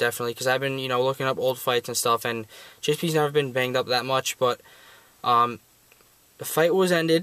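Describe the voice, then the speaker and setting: A man speaks at a very fast pace, at a medium pitch, with fairly even intonation. The sound is dry and close with no echo, broken by long, frequent pauses. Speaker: sports video reviewer. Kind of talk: casual commentary vlog. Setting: unusual recording location. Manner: hesitant, many fillers.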